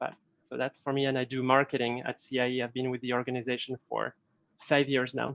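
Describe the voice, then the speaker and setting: A man speaks with a French accent. His intonation is monotone and flat. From France. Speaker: marketing staff. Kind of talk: self-introduction on video call. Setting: video call.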